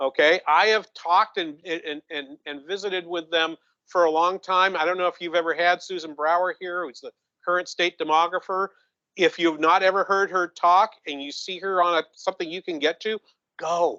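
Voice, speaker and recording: With a New England accent, a man speaks at a high pitch in a bright, sharp tone, with fairly even intonation at a moderate pace. Big swings in loudness come through in a dry, close sound with no echo. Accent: New England accent, noticeable. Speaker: economist. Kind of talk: conference presentation. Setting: conference room with audience. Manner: halting, many repetitions.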